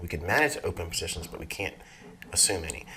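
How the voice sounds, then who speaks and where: A man rushes along at a very fast pace with noticeable background noise around him. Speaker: forex trading educator. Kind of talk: market commentary. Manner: casual, conversational.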